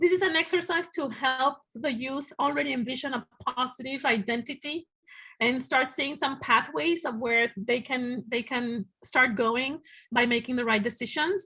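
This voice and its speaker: Raising and projecting her voice, a woman speaks at a high pitch with a bright, sharp tone on a very clean recording with a silent background. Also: ordinary pitch variation. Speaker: museum director. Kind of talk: presentation. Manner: fast.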